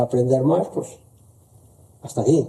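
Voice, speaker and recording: This man's voice sits at a medium pitch, with a dark, mellow, somewhat breathy tone. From La Rioja, Spain (Navarrete). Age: 60s. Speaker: potter. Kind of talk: interview.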